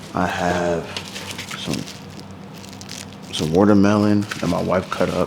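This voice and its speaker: A man with a very deep, low pitch speaks at a fairly slow pace in a monotone, flat intonation. Noticeable background noise is present. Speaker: lifestyle vlogger. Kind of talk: casual vlog talk to camera. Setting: at home at night. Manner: quiet, close to the mic.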